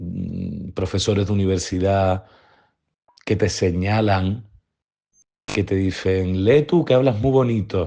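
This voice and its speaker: A man with a Sevillian accent, fairly low in pitch and dark and mellow in tone, at a very slow pace with long, frequent pauses, against a quiet background. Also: ordinary pitch variation. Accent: Sevillian Andalusian. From Seville, Andalusia. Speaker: interviewee. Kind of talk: testimony. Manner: reflective, with hesitations.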